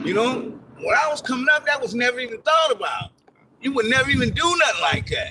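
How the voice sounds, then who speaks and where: A man with an extremely high pitch talks very fast in a raised, projected voice with lively intonation and an animated tone. There is noticeable background noise. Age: 60s. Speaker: passerby in a park. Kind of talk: casual chat.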